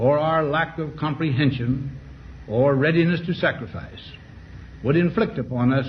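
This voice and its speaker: A man with an American accent speaks at a fairly slow pace, his fairly high voice carrying lively intonation and some vocal fry. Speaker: former US president giving a farewell address. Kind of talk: formal televised presidential address.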